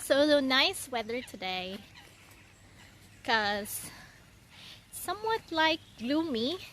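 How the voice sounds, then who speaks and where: A woman's high voice in a Visayan Filipino accent, at a very slow pace with long, frequent pauses and very wide pitch swings. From Philippines (Visayas). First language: Bisaya (Cebuano). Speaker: vlogger. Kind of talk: casual vlog narration. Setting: outdoors.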